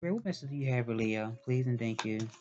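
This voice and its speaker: Ordinary pitch variation marks this voice. It is a man speaking. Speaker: tarot reader. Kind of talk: tarot reading monologue. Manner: hesitant, many fillers.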